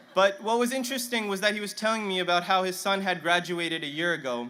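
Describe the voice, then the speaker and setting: Lively intonation marks a man's speech, his tone bright and sharp. Audible room echo is present. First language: Punjabi. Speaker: graduating student speaker. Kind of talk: commencement speech. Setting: stadium stage with audience. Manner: halting, some stammering restarts.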